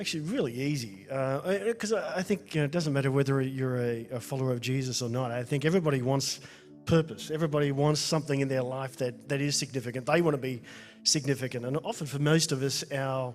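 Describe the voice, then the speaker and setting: Over music in the background, a man with an Australian accent speaks at a very fast pace, his fairly high pitch showing ordinary variation. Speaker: former radio presenter, mentor. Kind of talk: interview.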